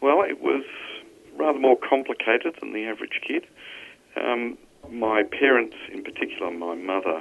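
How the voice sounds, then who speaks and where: Speaking at a moderate pace with an Australian accent, a man leaves long, frequent pauses while his loudness swings widely. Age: 60s. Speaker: accounting professor. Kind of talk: podcast interview.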